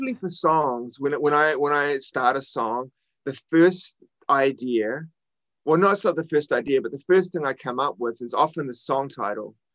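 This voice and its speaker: With a New Zealand accent, a man talks at a moderate pace, his fairly high pitch showing ordinary variation. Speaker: rock musician. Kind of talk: interview. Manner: halting.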